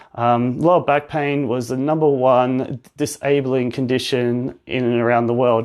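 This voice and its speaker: With an Australian accent, a man speaks fairly slowly at medium pitch in a monotone, flat intonation with hardly any pauses. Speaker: physiotherapist. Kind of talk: live-stream talk and education. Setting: Instagram live stream.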